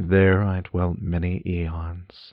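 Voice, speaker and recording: With monotone, flat intonation, a man speaks at a very deep, low pitch. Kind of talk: literary audiobook reading, first-person gothic narration. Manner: formal, lyrical, ornate storytelling with a solemn, cadenced delivery.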